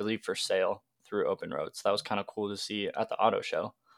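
Fairly low-pitched male speech with an American accent, dry and close with no echo, very clean with a silent background. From Washington State, US Pacific Northwest. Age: 20s. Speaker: podcast host, car enthusiast. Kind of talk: casual chat.

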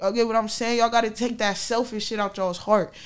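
On this very clean recording, the background is silent as the woman talks. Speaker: podcast host. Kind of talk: casual chat. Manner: informal, animated.

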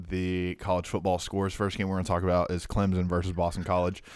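A man with a very deep, low pitch is captured in a very clean recording with a silent background. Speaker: podcast host. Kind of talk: casual chat.

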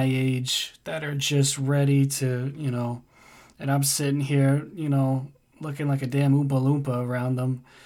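A man with a fairly high pitch and an American accent speaks at a fairly slow pace in a monotone, flat intonation. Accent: American accent noted by a Dane. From United States. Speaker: podcast guest, friend of host. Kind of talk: casual chat.

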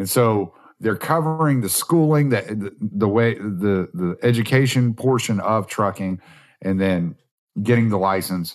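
Against a quiet background, a man with an ordinary speaking voice talks at a fairly slow pace, fairly low in pitch, with lively intonation. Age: 40s. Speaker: podcast host and truck driver. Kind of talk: casual chat. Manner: relaxed.

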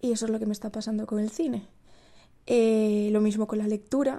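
This woman's fairly high voice has a dark, mellow tone and moves at a moderate pace. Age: 20s. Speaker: university student and podcaster. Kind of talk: casual monologue. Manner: stumbling over words.

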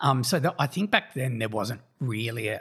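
With an Australian accent and a bright, sharp tone, the speaker talks at a moderate pace in a very clean recording with a silent background. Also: man. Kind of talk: interview. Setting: around a kitchen table.

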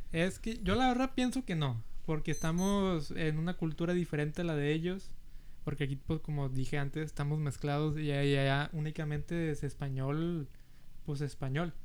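Pitch varies in an ordinary way at a moderate pace. The room echo can be heard. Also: man, fairly high pitch for a man. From US South, Rio Grande Valley, Texas. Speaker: podcast co-host, university student. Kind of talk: casual chat.

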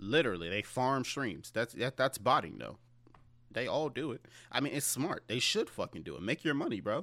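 Over a silent background on a very clean recording, a man speaks at a moderate pace in a medium pitch with a bright, sharp tone. His intonation is lively, and vocal fry comes through. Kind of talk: casual chat.

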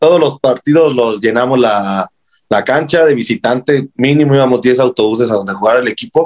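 A man with a Mexican accent speaks at a fairly quick pace and medium pitch, with ordinary pitch variation. His loudness is very even, and the sound is dry and close with no echo. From Mexico, Morelia. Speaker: football fan. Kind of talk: casual interview. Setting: podcast. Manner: halting, many repetitions.

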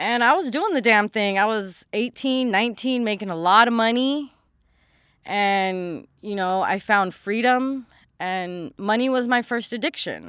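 Fairly slow, fairly high-pitched speech from a woman with ordinary pitch variation, in a very clean recording with a silent background. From US West Coast (Los Angeles, San Fernando Valley). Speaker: podcast host. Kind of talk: personal testimony. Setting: home recording. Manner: casual, conversational.

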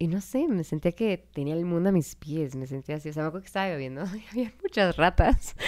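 A woman speaks fairly quickly with hardly any pauses and lively intonation. She has an unremarkable speaking voice at a fairly low pitch. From Mexico. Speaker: podcast co-host, mother. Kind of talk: casual chat.

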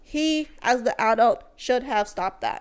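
Speaking at a fairly slow pace, the voice has an animated tone and lively intonation. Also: woman. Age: 20s. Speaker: anime podcast co-host. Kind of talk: casual debate.

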